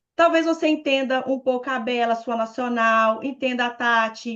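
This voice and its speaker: A woman at a high pitch with ordinary pitch variation and a fairly slow pace, over a quiet background. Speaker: national sales director, leadership trainer. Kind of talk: training talk on video call. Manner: animated.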